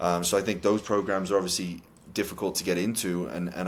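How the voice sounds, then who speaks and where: A man's very deep, low voice with a Welsh accent, flat and monotone, at a fairly quick pace. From Cardiff, Wales. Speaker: college soccer head coach. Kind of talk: interview answer.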